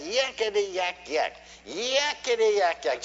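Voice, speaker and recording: Someone doing a put-on character voice speaks at a moderate pace in a fairly high, shrill tone, with light background noise behind it. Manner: chattering.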